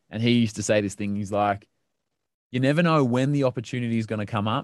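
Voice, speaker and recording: A man talks in an Australian accent against a quiet background. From Melbourne, Australia. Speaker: radio broadcaster and podcaster. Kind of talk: casual interview chat.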